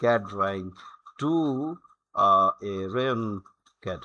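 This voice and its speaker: A man with a Bengali accent speaks at a very slow pace, his tone bright and sharp and his intonation lively. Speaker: software tutorial creator. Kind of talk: tutorial. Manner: halting, many fillers.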